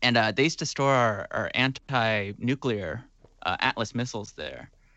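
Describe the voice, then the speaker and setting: This man talks in a normal speaking voice at medium pitch, with ordinary pitch variation and a moderate pace. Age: 20s. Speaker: musician. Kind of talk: casual interview chat.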